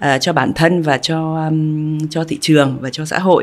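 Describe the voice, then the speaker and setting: The speaker is a woman. She has a very deep, low pitch. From overseas Vietnamese. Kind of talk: interview. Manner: halting.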